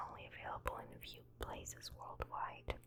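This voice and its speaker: Whispering comes at a moderate pace against noticeable background noise. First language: not English. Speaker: ASMR creator. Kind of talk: reading aloud. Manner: soft-spoken.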